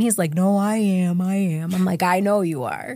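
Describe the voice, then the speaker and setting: A woman with an American accent and a normal speaking voice, lively intonation at a moderate pace, on a very clean recording with a silent background. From US Northeast, Syracuse, New York. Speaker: prison wife. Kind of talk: interview conversation.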